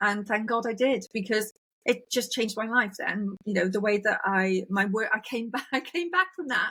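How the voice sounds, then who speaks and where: Lively intonation and a moderate pace from a woman pitched fairly high. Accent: British. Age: 60s. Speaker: podcast host. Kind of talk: casual interview chat.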